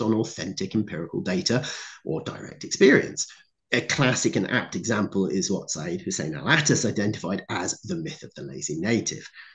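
Against a quiet background, a man with vocal fry speaks at a fairly quick pace, his pitch swinging very widely. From Cornwall, England. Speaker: historian and author; conference speaker. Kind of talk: conference talk. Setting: video call. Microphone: video call.

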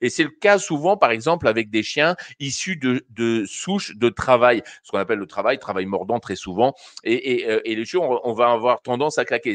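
The man's intonation is lively at a moderate pace. The sound is dry with no echo against a quiet background. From France. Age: 50s. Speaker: dog behaviour trainer. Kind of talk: live call-in advice show. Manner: halting, many fillers. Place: home room. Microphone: studio mic.

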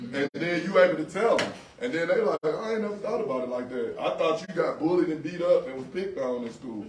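A man with a high-pitched voice talks at a very fast pace with lively intonation. Audible room echo and light background noise are present. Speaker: police officer. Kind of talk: community panel discussion. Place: shop. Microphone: camera far.

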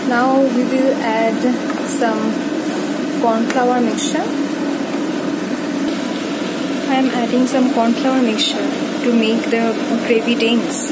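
A woman speaks at a fairly slow pace with long, frequent pauses. Loud background noise fills the recording. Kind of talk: cooking tutorial. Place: kitchen. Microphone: phone near.

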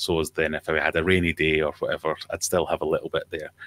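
Here is a man with a Scottish accent, speaking at a fairly quick pace. The sound is dry, with no echo. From Scotland. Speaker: aquarium YouTuber. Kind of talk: casual chat. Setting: video call. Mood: relaxed, friendly. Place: home room. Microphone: studio mic.

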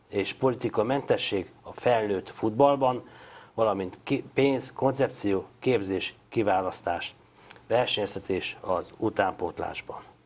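Intonation rises and falls in a lively way as a man talks. His pace is very slow. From Hungary. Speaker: sports TV host. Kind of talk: interview. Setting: studio. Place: studio.

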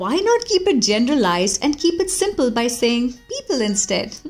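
A woman talks at a moderate pace in a high voice, her intonation lively and her tone upbeat. Music plays behind her. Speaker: voice artist. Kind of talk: podcast commentary. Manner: upbeat, positive.

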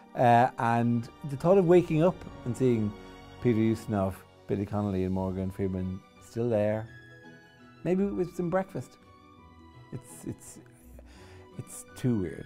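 Faint music plays behind a man who speaks fairly slowly, his pitch swinging very widely between long, frequent pauses. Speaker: comedian and TV host. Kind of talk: interview answer. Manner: casual, humorous. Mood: amused, conversational. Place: studio. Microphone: lapel.

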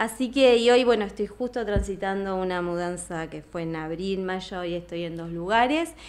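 Delivery moves at a moderate pace with hardly any pauses and ordinary pitch variation. There are big swings in loudness. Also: woman. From Argentina, Plotier (Neuquén); Neuquén, Argentina. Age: 40s. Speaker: yoga teacher. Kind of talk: casual interview. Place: studio. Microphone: studio mic.

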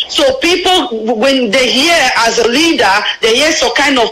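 Noticeable background noise sits behind a woman speaking at a moderate pace in a high voice with ordinary pitch variation. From Nigeria, Anioma (Delta). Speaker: caller. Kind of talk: phone-in comment.

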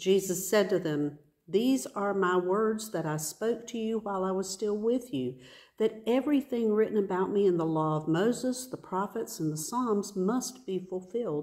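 A woman speaks in a dark, mellow tone at a moderate pace. The background is quiet. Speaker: pastor or worship leader. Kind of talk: scripture reading. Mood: calm and earnest. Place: church. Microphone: phone near.

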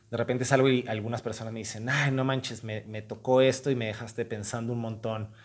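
The pace is fairly quick, with fairly even intonation. The background is quiet. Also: man. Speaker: theater actor. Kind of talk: interview answer. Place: stage.

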